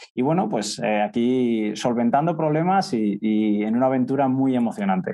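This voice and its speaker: A medium-pitched man with a Castilian accent, moderately paced, with lively intonation, very even loudness and hardly any pauses. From central Spain (Castilla-La Mancha). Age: 20s. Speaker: startup co-founder. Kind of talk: interview conversation.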